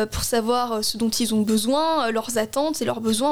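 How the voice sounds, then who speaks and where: There is noticeable background noise behind a woman's voice. She speaks at a moderate pace with a fairly high pitch. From Alsace, Strasbourg. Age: 20s. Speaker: election candidate. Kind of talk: political interview.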